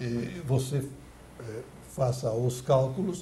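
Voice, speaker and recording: In a room with audible echo, a man speaks at a medium pitch with a somewhat breathy voice and fairly even intonation. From Santa Catarina, southern Brazil. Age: 80s+. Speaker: former mayor and politician, ex-radio broadcaster. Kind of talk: interview. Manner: formal; halting.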